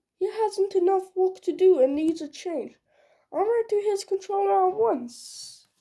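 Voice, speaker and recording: In a put-on character voice, a woman speaks at a moderate pace with an extremely high pitch and lively intonation. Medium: read story.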